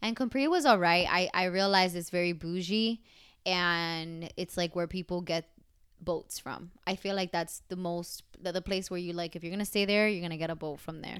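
A woman with a normal speaking voice talks at a moderate pace and a fairly low pitch. Her intonation is fairly even, in a very clean recording with a silent background. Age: 20s. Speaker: travel podcast co-host. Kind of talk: casual chat; podcast outro. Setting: recording on vacation in Italy.

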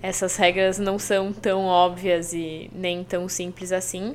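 A woman talks at a very slow pace in a medium pitch. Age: 20s. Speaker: journalist and English teacher. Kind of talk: casual chat.

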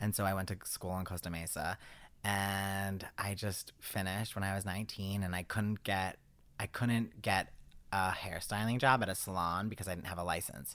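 A man with a slight East Coast US accent speaks at a moderate pace and a fairly low pitch in a monotone, flat intonation, on a very clean recording with a silent background. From US East Coast. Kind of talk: casual chat.

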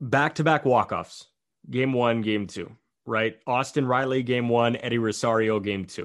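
A man talks in a normal speaking voice at a medium pitch and moderate pace, with ordinary pitch variation against a quiet background. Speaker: baseball podcast host. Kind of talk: casual chat.

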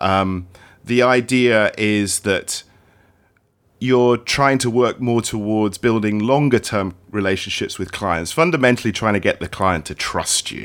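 The speaker has a British accent. Pitch moves up and down in an ordinary way. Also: man, medium pitch for a man, very clean recording, silent background. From UK, partly raised in Australia and Hong Kong. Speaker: cameraman and creative director. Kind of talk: interview conversation. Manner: storyteller.

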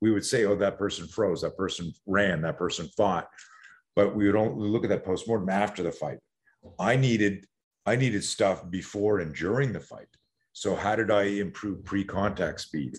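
Against a quiet background, a man talks at a moderate pace in a fairly low voice with ordinary pitch variation. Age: 60s. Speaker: self-defense coach. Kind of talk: casual interview. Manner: animated.

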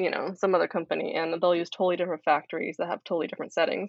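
A woman at medium pitch, talking at a very fast pace. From Japan. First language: Japanese. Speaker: textile designer and brand founder. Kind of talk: casual interview chat.

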